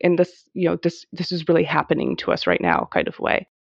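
A woman talks at a fairly quick pace, the sound dry and close with no echo against a quiet background. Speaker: infectious disease scientist. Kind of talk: interview conversation.

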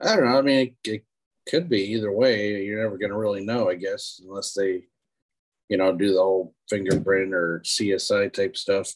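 A man with an American accent and an unremarkable speaking voice talks at a fairly low pitch and a moderate pace, with ordinary pitch variation. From Erie, Pennsylvania. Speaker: friend of host. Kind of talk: casual chat. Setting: video call.

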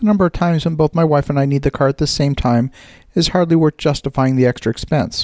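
A man talks at a fairly quick pace in a normal speaking voice, pitched fairly high, with ordinary pitch variation. The sound is dry and close, with no echo. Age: 50s. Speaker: podcast host. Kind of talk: scripted commentary.

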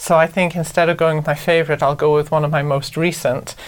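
A woman speaks in a Welsh accent. Her voice is very deep and low, with monotone, flat intonation. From Wales, Anglesey. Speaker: novelist, podcast co-host. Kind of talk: casual chat.

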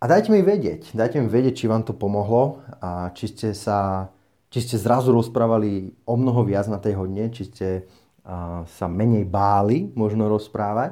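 In a very clean recording with a silent background, a man with a dark, mellow tone and fairly low pitch talks at a moderate pace with ordinary pitch variation. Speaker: English teacher and podcast host. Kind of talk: tutorial-style podcast monologue. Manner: unscripted, off-the-cuff.

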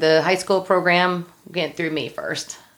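A woman with an American accent and a plain, everyday voice, fairly low-pitched with fairly even intonation, at a fairly slow pace, in a very clean recording with a silent background. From Ohio. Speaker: cheerleading coach. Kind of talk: interview.

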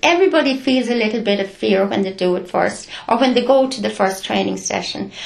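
An Irish accent carries lively intonation at a fairly quick pace. The room echo is audible, and background noise is noticeable. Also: woman. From Ireland, County Carlow. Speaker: retired nurse and community volunteer. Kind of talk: interview.

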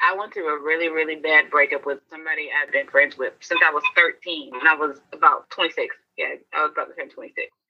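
Music plays in the background as a woman speaks in an American accent. Her pace is fairly quick, with hardly any pauses. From US South, Augusta, Georgia. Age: 20s. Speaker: ministry founder and content creator. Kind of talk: casual chat.

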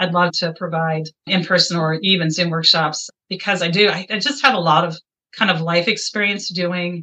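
Speaking at a moderate pace with an American accent, a woman uses a fairly low pitch and ordinary pitch variation. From Iowa, US Midwest. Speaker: life coach. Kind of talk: interview. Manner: animated.

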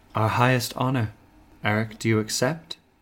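A man speaks in a put-on character voice at medium pitch. His pace is moderate. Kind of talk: high fantasy regal speech. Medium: actual play. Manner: imperious, haughty.

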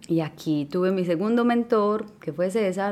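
Very slowly, a woman speaks in a dark, mellow tone with a Colombian accent. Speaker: podcast host. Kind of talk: casual monologue.

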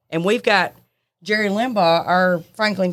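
A woman with a Southern US accent in a very clean recording with a silent background. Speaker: librarian. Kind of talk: casual chat. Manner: loud.

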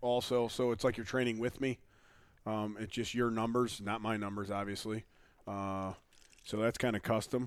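A man with an unremarkable speaking voice, an American accent, medium pitch and a moderate pace. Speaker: podcast host. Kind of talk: casual chat.

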